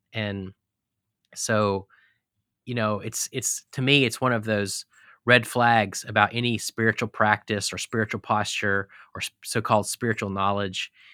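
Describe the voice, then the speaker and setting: A man with an American accent, fairly low in pitch, bright and sharp in tone, monotone and flat in intonation, in a dry, close sound with no echo and a very clean recording against a silent background. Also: moderate pace. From Texas. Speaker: pastor and biographer. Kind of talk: casual interview. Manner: halting, many fillers.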